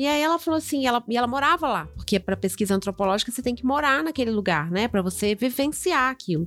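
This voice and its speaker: The speech runs at a very fast pace with hardly any pauses, very even loudness and very wide pitch swings. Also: woman, high pitch for a woman. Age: 40s. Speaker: podcast co-host. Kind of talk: casual chat.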